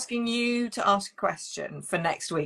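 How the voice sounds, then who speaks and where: Delivery comes at a moderate pace. It is in a British accent. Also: woman. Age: 50s. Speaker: relationship coach and live show host. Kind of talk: live-stream interview. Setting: online live stream.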